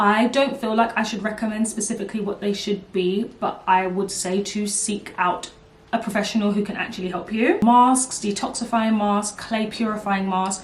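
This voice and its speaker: At a moderate pace, a woman with a medium pitch talks in a monotone, flat intonation against noticeable background noise. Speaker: beauty YouTuber. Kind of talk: casual vlog Q&A.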